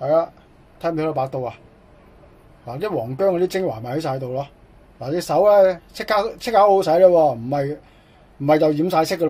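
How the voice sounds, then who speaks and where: The pace is fairly quick and the tone animated. Long pauses come often. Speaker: cooking YouTuber. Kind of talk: cooking tutorial.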